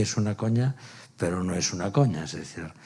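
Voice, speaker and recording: A normal speaking voice moves along at a moderate pace. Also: man. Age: 60s. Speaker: stage actor. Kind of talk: post-show talkback. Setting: theatre with audience.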